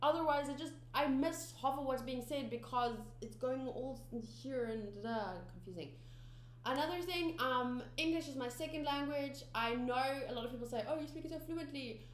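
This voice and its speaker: A woman with a South African accent at a moderate pace, with audible room echo. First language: Afrikaans. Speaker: anime reaction youtuber. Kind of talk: casual vlog chat to viewers. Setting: home studio. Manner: halting, many fillers and restarts.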